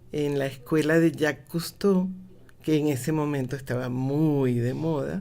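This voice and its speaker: Her pitch is very deep and low, with a dark, mellow tone. The woman talks at a fairly slow pace with fairly even intonation. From Mexico and Venezuela (25 years, from school age). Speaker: cultural management expert, lecturer. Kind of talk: radio interview.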